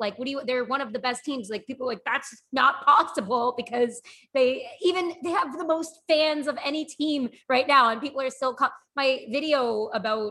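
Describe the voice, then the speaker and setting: A woman projects a raised, high-pitched voice with a bright, sharp tone. Her pace is moderate and her pitch variation ordinary. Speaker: hockey writer and podcast co-host. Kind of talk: casual chat.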